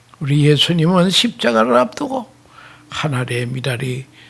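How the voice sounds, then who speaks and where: Over noticeable background noise, a man at medium pitch speaks very slowly. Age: 80s+. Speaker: retired pastor. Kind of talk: sermon.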